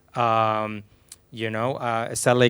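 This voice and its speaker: A man with a Venezuelan accent speaks in a flat monotone. The recording is very clean, with a silent background. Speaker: film composer, panelist. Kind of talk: panel discussion.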